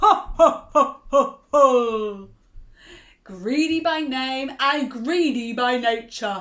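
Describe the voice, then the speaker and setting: Putting on a character voice, a woman bellows at a high pitch. She goes at a very slow pace. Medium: read story. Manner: bellowing, stern.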